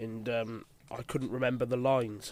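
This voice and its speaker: A man with an English accent, medium in pitch, dark and mellow in tone, at a moderate pace. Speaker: puppeteer and voice artist. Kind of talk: audio commentary. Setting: in a shed, headphones on. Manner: hesitant, many fillers.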